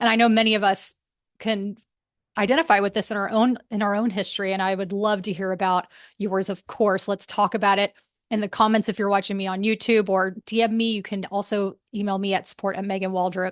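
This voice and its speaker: Over a quiet background, a woman talks at a fairly quick pace in a flat monotone, the sound dry and close with no echo. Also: medium pitch for a woman. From moved around as a US military child. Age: 40s. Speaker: podcast host. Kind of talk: solo podcast monologue. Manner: casual, conversational.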